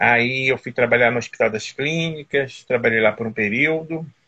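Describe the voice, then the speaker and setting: The tone is bright and sharp. Delivery comes at a fairly slow pace. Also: man. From Teresópolis, Rio de Janeiro state, Brazil. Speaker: nurse and former municipal health official. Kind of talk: interview on a live stream.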